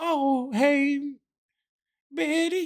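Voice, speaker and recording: A put-on character voice. It is high-pitched. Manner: imitating an elderly grandma's tone.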